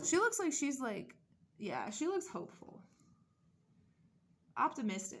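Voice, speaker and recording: A woman speaks at a moderate pace in a somewhat breathy voice. Her pitch swings very widely, and she takes long, frequent pauses. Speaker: doll collector YouTuber. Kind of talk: casual unboxing vlog. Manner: rambling, casual.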